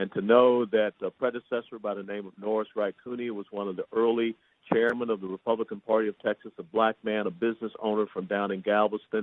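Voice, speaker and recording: A man with an American accent talks at a very fast pace, with hardly any pauses. His fairly low voice stays monotone and flat. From US South, Atlanta, Georgia. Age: 60s. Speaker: state party chairman. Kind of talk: acceptance speech. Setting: county commissioners court meeting.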